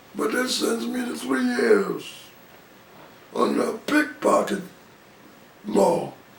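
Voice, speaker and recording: This man talks in an American accent while background noise is clearly noticeable. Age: 80s+. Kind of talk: interview answer. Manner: casual, conversational.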